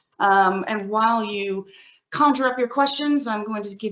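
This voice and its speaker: Lively intonation marks this woman's delivery. She has an unremarkable speaking voice and a moderate pace. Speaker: webinar host, association staff. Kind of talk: webinar hosting. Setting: webinar.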